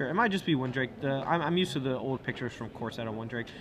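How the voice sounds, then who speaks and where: Very fast speech with ordinary pitch variation, in an American accent. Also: man. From US South, Alabama. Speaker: esports commentator. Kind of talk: live commentary. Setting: tournament venue.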